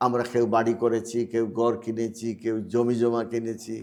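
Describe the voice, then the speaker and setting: Monotone and flat, a man delivers his lines at medium pitch. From Bangladesh, Sylhet. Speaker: expatriate philanthropist and school founder. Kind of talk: interview. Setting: studio.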